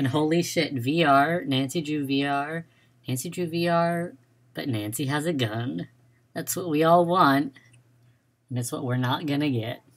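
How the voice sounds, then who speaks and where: Moderate pacing broken by long, frequent pauses, on a very clean recording with a silent background. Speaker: gaming streamer. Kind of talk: casual live stream commentary. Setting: home live stream with headphones. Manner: loud at times.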